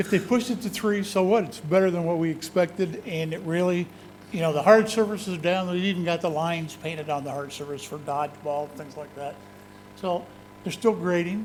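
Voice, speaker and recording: A man talks in a high pitch at a fairly quick pace. His pitch varies in an ordinary way. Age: 60s. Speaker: school district facilities official. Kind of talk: board meeting report. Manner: casual, conversational.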